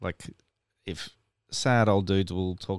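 Recorded very cleanly with a silent background and a dry, close sound with no echo, a man speaks at a moderate pace in a very deep, low voice. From Ipswich, Queensland, Australia. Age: 40s. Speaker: record store owner and musician. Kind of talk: casual chat.

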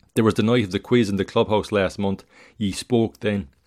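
A man with an unremarkable speaking voice talks at a moderate pace in a medium pitch, with fairly even intonation. The recording is very clean with a silent background and a dry, close sound with no echo. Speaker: podcast host and writer reading own work. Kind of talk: literary story reading, second-person narration of a tragedy. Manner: measured, solemn, expressive reading.

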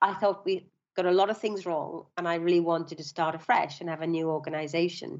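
A woman with a Welsh accent and a fairly low pitch. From South Wales, Swansea. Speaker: bank founder and CEO. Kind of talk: interview.

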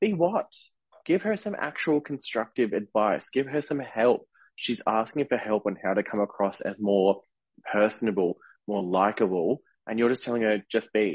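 Here is a man with a normal speaking voice at a medium pitch. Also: ordinary pitch variation, moderate pace. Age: 30s. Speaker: podcast co-host and drag performer. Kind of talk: casual chat.

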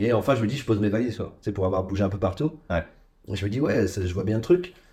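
The speaker talks at a very fast pace with a somewhat breathy voice. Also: man. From Ardennes, north-eastern France. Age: 30s. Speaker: podcast guest. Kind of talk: casual chat.

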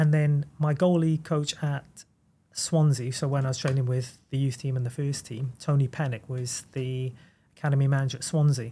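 In a Welsh accent, a man speaks in a fairly high, somewhat breathy voice with a dark, mellow tone and monotone, flat intonation, captured on a very clean recording with a silent background. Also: moderate pace. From Wales. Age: 30s. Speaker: goalkeeper coach. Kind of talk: casual chat.

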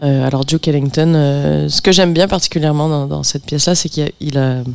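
Noticeable background noise surrounds a woman speaking with a very deep, low pitch. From Montreal, Quebec, with time in France. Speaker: pianist and composer. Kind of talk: casual radio interview.

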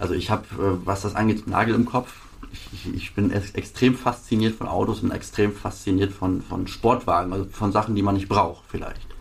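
Over noticeable background noise, a man with a fairly low pitch speaks at a fairly quick pace with fairly even intonation. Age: 20s. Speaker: sports car dealer. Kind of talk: interview. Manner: halting.

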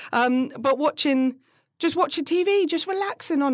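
A woman's lively intonation in a British accent, on a very clean recording with a silent background. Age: 30s. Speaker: podcast host and businesswoman. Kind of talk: stand-up style comedic rant, relatable confessional humour. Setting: office, recorded live. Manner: self-mocking, laughs at own jokes.

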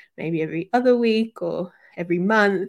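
In a very clean recording with a silent background, a woman with an Australian accent speaks at a fairly slow pace with ordinary pitch variation. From Western Sydney, Australia. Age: 30s. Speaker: podcast co-host and yoga teacher. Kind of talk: casual interview chat. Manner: hesitant, many fillers.

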